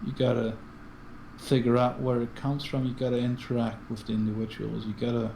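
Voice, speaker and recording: In a room with audible echo, a man of medium pitch speaks at a fairly quick pace with monotone, flat intonation. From Switzerland. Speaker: guest co-player. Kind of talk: casual chat during gameplay. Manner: halting.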